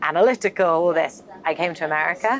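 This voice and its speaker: Speaking at a fairly quick pace, a woman with a British accent has a fairly low pitch. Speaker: marketing executive. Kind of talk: interview conversation. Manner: animated storytelling.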